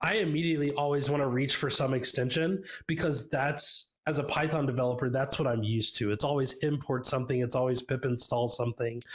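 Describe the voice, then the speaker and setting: This man, with an American accent, talks at a very fast pace with hardly any pauses and very even loudness. His voice is somewhat breathy and fairly high, and his intonation stays fairly even. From US South, Tennessee. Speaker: software developer, conference speaker. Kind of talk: tech talk presentation. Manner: casual, many fillers.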